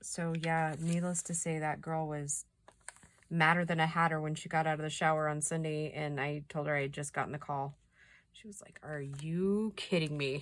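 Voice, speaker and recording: This woman has a very deep, low voice and an American accent, speaking at a moderate pace. Her intonation stays monotone and flat while her loudness swings widely. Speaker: craft youtuber. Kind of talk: craft tutorial chat.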